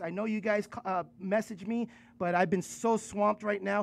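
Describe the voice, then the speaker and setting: The man's voice sits high in pitch, delivered in a flat monotone. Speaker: podcast host. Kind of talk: casual podcast chat. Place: studio. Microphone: studio mic.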